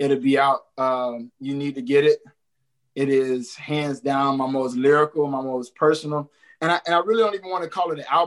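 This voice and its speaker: An ordinary speaking voice with an American accent, at a moderate pace with ordinary pitch variation. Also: man. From Jacksonville, Florida. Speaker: hip hop artist. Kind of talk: casual interview. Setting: video call.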